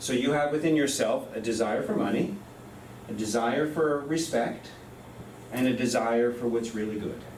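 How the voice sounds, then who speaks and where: There is audible room echo and noticeable background noise. A man talks at a medium pitch with ordinary pitch variation. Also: moderate pace. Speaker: professor. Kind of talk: lecture.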